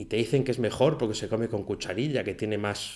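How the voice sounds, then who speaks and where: A man speaking at a fairly quick pace on a very clean recording with a silent background. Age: 40s. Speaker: podcast host, freelance web developer. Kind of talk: solo podcast monologue. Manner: casual, with filler hesitations.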